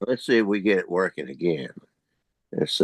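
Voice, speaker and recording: A man speaks at a fairly low pitch with a dry, close sound and no echo. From US South, North Carolina (Winston-Salem). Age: 80s+. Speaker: historian. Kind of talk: guest talk on video meeting.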